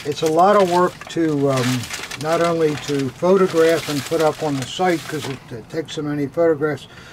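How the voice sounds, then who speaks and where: A fairly high male voice at a moderate pace, fairly even in intonation, with noticeable background noise. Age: 80s+. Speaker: militaria dealer. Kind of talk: casual chat. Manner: halting.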